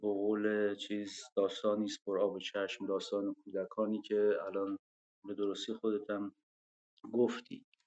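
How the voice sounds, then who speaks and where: A man's fairly low, monotone, flat voice at a fairly slow pace, with dry, close sound and no echo. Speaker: former political prisoner. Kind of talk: online panel discussion. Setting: online audio room.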